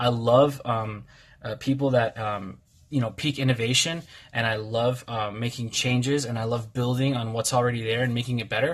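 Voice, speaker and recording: This man has a medium pitch and a somewhat breathy voice. His intonation stays fairly even. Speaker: card game youtuber. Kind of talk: casual deck tutorial video. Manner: peppy, fast; halting, words jumbled, many fillers.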